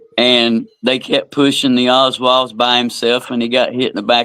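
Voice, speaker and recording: This man has an American accent, a medium pitch, a bright, sharp tone, and hardly any pauses. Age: 60s. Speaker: podcast co-host. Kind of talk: casual chat.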